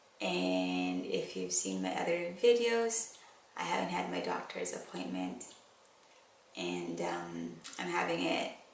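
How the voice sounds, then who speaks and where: Noticeable background noise and audible room echo around a woman's fairly slow speech. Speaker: vlogger. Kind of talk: casual chat.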